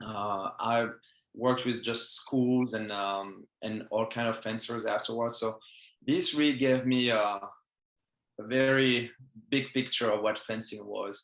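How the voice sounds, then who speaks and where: A man with a French accent, medium-pitched, flat and monotone, at a fairly slow pace, on a very clean recording with a silent background. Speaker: fencing coach. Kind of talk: interview. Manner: halting.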